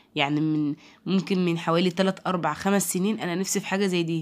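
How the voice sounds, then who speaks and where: Speaking at a fairly quick pace in an Egyptian accent, a woman uses a medium pitch and fairly even intonation on a very clean recording with a silent background. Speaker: home product reviewer. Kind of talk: product review. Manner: halting.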